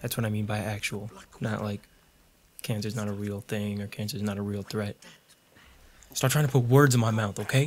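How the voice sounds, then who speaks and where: A man talks at a fairly quick pace in a fairly low voice, with long, frequent pauses. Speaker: gaming YouTuber. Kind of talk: gameplay commentary. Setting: home recording with microphone. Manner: animated.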